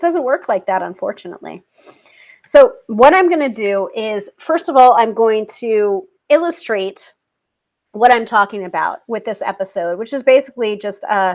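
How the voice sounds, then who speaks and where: An American accent marks this woman's ordinary speaking voice, fairly high in pitch with lively intonation. She keeps a moderate pace while her loudness swings widely. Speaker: tarot reader and livestream host. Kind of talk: casual livestream chat.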